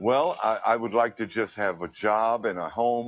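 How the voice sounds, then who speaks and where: A man with an American accent has an ordinary speaking voice at a medium pitch and speaks at a moderate pace. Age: 50s. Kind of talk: interview answer.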